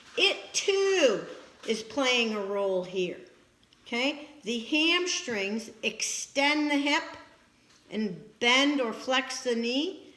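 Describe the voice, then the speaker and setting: Amid audible room echo, a woman with a high pitch speaks very slowly, with very wide pitch swings and long, frequent pauses. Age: 60s. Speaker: physical therapy instructor. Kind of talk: lecture.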